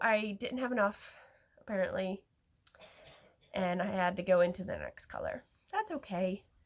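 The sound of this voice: A woman does a put-on character voice, hoarse and raspy, at a medium pitch. She keeps a moderate pace but leaves long, frequent pauses.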